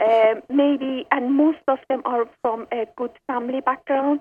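A high-pitched woman's voice with an Iranian accent, fairly even intonation and a fairly slow pace

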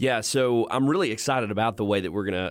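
This is a man with a plain, everyday voice, medium in pitch with ordinary pitch variation. The recording is very clean, with a silent background. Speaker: co-host. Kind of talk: podcast conversation.

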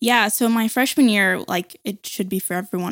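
A woman speaks with ordinary pitch variation. The recording is very clean, with a silent background and a dry, close sound free of echo. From Arkansas, US South, with years in India and Thailand. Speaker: ministry staff member. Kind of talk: casual interview.

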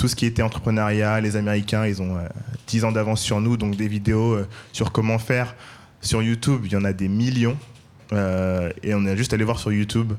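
A man delivers his words at a moderate pace in a fairly low, monotone, flat voice. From Paris, 13th arrondissement. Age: 30s. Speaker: entrepreneur, food brand cofounder. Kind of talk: live panel discussion. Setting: live event with audience.

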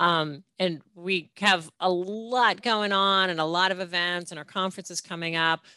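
A woman talks in an ordinary speaking voice with a fairly low pitch and fairly even intonation. Her pace is moderate, with hardly any pauses. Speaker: podcast host. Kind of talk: interview Q&A.

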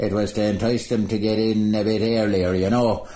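A man's fairly low voice with an Irish accent, fairly even intonation and a moderate pace. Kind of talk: interview recollection.

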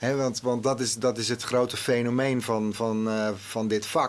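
A man's medium-pitched voice at a fairly slow pace, fairly even in intonation, over noticeable background noise. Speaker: TV executive. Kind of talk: interview. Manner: halting.

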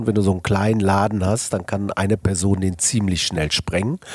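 A man at a very fast pace with a very deep, low pitch, over noticeable background noise. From Ruhr area, Germany. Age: 50s. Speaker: business executive and agency founder. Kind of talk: interview. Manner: casual, colloquial with many fillers.

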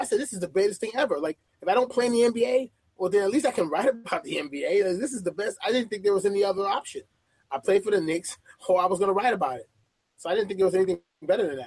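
A man with a high-pitched voice talks very fast with a New York accent. His intonation is lively. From Brooklyn, New York. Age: 30s. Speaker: sports editor. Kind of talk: interview.

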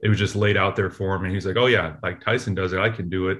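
In an American accent, a man talks in a flat monotone with a somewhat breathy quality. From US West Coast, Oakland, California. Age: 30s. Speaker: retired baseball player. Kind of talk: interview.

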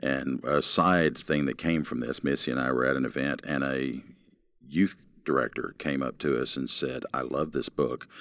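A man's very deep, low voice with vocal fry, at a moderate pace and with fairly even intonation. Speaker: pastor and ministry program director. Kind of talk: interview conversation.

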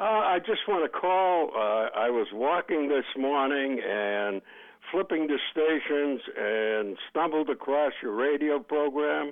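Speaking very slowly, a man with a fairly high pitch uses lively intonation and keeps his loudness very even. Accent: American. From Boston. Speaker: caller. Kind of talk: call-in talk radio.

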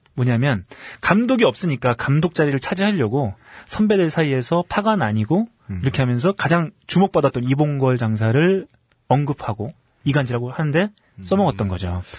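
A man speaks at a fairly quick pace in a somewhat breathy, fairly high voice, his pitch swinging very widely. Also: dry, close sound with no echo. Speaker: magazine interviewer. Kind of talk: casual chat.

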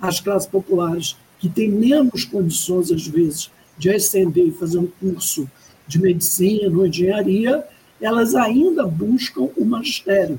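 A woman has an unremarkable speaking voice at medium pitch. She talks at a fairly slow pace with lively intonation. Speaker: education professor. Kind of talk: interview. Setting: video call. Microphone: audio a bit quiet, headset.

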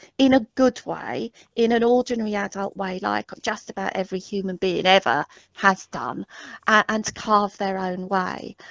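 A woman speaks with an English accent. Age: 50s. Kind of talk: casual interview conversation.

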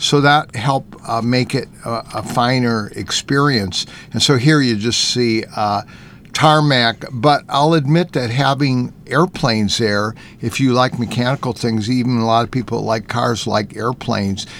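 An ordinary speaking voice talks at a fairly slow pace. Its pitch varies in an ordinary way. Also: man, medium pitch for a man. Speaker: automotive journalist and artist.

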